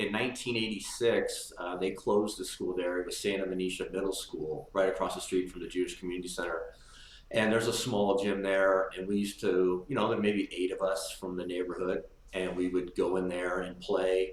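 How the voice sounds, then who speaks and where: With noticeable background noise behind him, a man with an American accent speaks at a fairly quick pace in a fairly low pitch and a monotone, flat intonation. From Marin County, California. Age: 50s. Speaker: former basketball player. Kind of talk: interview.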